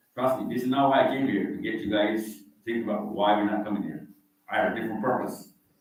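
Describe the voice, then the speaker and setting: Audible room echo surrounds a man's fairly low voice. He talks at a very fast pace with fairly even intonation. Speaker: visiting Islamic speaker. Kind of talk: talk to a live audience. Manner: informal, conversational.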